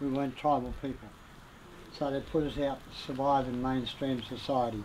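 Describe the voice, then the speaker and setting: Talking at a moderate pace, a man with a medium pitch is heard amid audible room echo. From Australia, Gippsland, Victoria. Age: 70s. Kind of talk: welcome to country speech.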